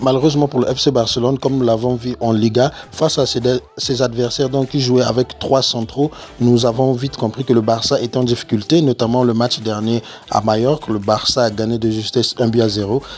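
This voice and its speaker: A man at a fairly quick pace, medium pitch and fairly even intonation, with noticeable background noise. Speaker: football youtuber. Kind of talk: match analysis monologue. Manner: soft-spoken; halting.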